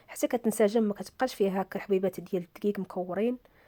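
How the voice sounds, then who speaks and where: A woman's dark, mellow tone with fairly even intonation in a dry, close sound with no echo. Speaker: cooking channel host. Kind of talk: cooking tutorial.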